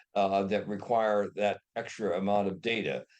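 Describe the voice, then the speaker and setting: A man with a Midwestern American accent and a fairly low pitch. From US Midwest (Ohio). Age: 80s+. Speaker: inventor. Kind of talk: interview. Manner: halting.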